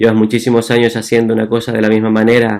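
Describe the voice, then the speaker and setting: A man with a Chilean accent speaks at a fairly quick pace. His medium pitch stays monotone and flat. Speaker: physician. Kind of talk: talk. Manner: halting.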